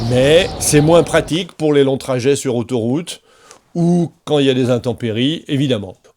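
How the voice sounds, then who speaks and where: The pace here is moderate, and the pitch varies in an ordinary way. Overall, it is an ordinary speaking voice. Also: man. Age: 60s. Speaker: motorcycle vlogger. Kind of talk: vlog monologue.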